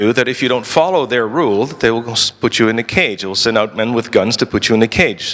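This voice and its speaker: With a Dutch accent, a man speaks at a medium pitch and a fairly quick pace. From Netherlands. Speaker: lawyer and libertarian activist. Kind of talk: conference talk. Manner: halting, with frequent repetitions.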